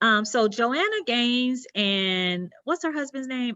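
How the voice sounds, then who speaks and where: The speaker uses a Southern US accent, talking at a very slow pace with lively intonation. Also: woman. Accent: southern twang. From US South, South Carolina. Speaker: interior designer. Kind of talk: presentation. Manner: halting.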